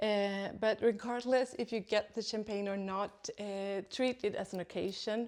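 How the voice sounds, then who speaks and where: A woman with a non-native accent speaks in a medium pitch and a flat monotone at a fairly slow pace with hardly any pauses. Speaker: second-hand luxury video host. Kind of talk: tutorial. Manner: hesitant, many fillers.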